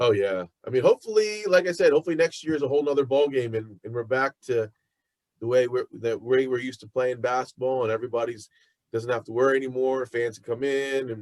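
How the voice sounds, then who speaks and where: A man's very fast speech at medium pitch, ordinary pitch variation and big swings in loudness, in a dry, close sound with no echo. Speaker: podcast host. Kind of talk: interview.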